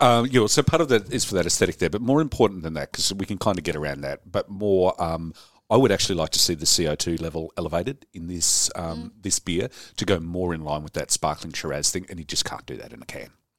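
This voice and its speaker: A man with an Australian accent talks very fast in a very deep, low voice with lively intonation. His loudness swings widely. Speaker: brewer. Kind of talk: casual chat. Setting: studio.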